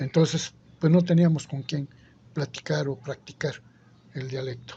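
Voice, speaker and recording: Somewhat breathy and dark, mellow in tone, a man with an Oaxacan accent speaks at a fairly slow pace and fairly high pitch with fairly even intonation. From Isthmus of Tehuantepec, Oaxaca, Mexico. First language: Zapotec (speaking Spanish). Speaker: interviewee. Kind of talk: interview.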